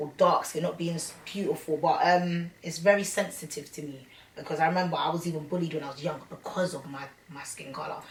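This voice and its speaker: Noticeable background noise sits behind a woman with a London accent. She speaks at a fairly quick pace and a fairly low pitch, with ordinary pitch variation. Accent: London, Multicultural London English. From London (Hackney). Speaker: rapper. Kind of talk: interview. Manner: casual, slangy.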